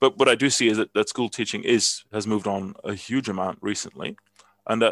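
A man with a Dutch accent speaks with a fairly low pitch and fairly even intonation. The recording is very clean with a silent background, and the sound is dry and close with no echo. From Netherlands. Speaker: chemistry professor. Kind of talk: interview. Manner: hesitant, many fillers and repeats.

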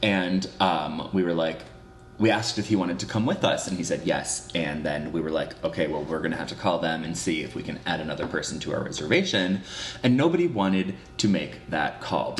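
Noticeable background noise surrounds a man with a very deep, low voice. He talks at a fairly quick pace with ordinary pitch variation. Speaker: podcast co-host.

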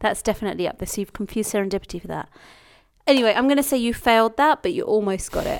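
In a very clean recording with a silent background, a woman talks at a very fast pace, her fairly high voice full of lively intonation. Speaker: podcast co-host. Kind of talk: casual banter Q&A with spouse. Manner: playful, laughing.

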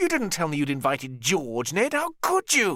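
In a put-on character voice, a man speaks at a fairly high pitch with very wide pitch swings and a bright, sharp tone. His pace is moderate, and the recording is very clean with a silent background.

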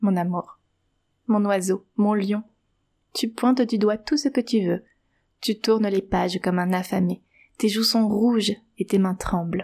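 A woman speaks in a dark, mellow, gentle, warm tone that is somewhat breathy, with fairly even intonation and very even loudness. Long, frequent pauses break up her speech, and the very clean recording has a dry, close sound with no echo and a silent background. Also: medium pitch for a woman, fairly slow pace.

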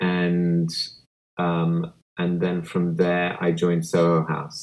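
The voice belongs to a man and sits very deep and low. Its intonation is fairly even. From Kenya. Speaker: hospitality executive. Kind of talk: interview.

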